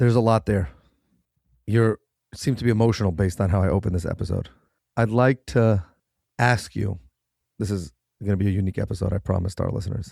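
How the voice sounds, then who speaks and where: A man's fairly low, dark, mellow voice with an American accent, very fast yet broken by long, frequent pauses, with ordinary pitch variation, in a dry, close, very clean recording with a silent background and no echo. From New York City (Manhattan). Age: 30s. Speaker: podcast host. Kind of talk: interview podcast.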